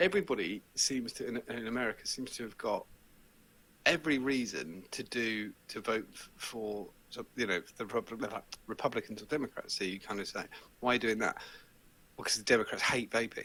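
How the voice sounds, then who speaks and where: A bright, sharp voice with an English accent at a fairly quick pace, with ordinary pitch variation. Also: man, medium pitch for a man. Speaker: vaping show host, interview guest. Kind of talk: casual chat. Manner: animated.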